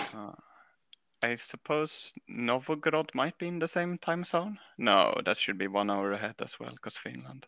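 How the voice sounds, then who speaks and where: A man with a Swedish accent speaks at a moderate pace in a fairly high pitch, his bright, sharp tone rising and falling in very wide swings, recorded dry and close with no echo. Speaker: caller. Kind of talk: comedic call-in chat. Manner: halting.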